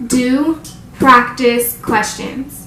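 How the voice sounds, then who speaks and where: A woman speaks in a high pitch with an animated tone. Noticeable background noise and audible room echo are in the recording. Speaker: nursing student YouTuber. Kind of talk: tutorial. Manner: fast.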